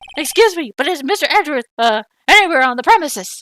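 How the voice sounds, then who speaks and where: In a put-on character voice with a nervous tone, the speaker races at a very fast pace with very wide pitch swings, in a dry, close sound with no echo. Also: woman, high pitch for a woman. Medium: game stream. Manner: nervous, stammering, ends every phrase with "sir".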